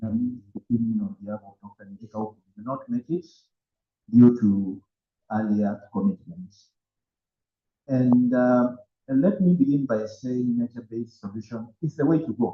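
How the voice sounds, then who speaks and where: A man talks at a medium pitch, his loudness rising and falling sharply. His intonation is lively, broken by long, frequent pauses. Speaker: climate policy advocate. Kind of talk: panel discussion. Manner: slow.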